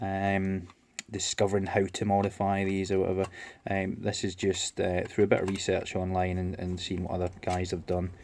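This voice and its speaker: In a Scottish accent, this voice moves at a moderate pace with monotone, flat intonation on a very clean recording against a silent background. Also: man, very deep, low pitch for a man. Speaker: electronics repair hobbyist. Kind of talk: tutorial. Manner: hesitant, many fillers; casual.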